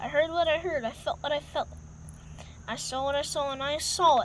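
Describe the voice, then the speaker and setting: Over clear background noise, a put-on character voice with a high pitch moves at a fairly quick pace. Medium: read story.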